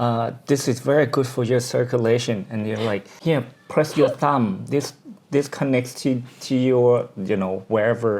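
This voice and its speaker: A man with a Thai accent, medium pitch, fairly even intonation and a fairly slow pace, over noticeable background noise. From Thailand. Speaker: podcast co-host. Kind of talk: casual chat.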